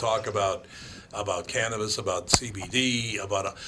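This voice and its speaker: Over noticeable background noise, a man with an Upper Midwest accent speaks at a medium pitch and a moderate pace. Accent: Upper Midwest American. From Minneapolis, Minnesota. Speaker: radio host. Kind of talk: casual talk radio chat.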